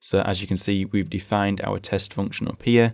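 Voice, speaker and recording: On a very clean recording with a silent background, a man with a British accent talks at a fairly quick pace in a fairly low voice. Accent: British (UK English). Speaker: programming tutorial host. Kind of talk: screen-recorded coding tutorial. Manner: casual, explanatory.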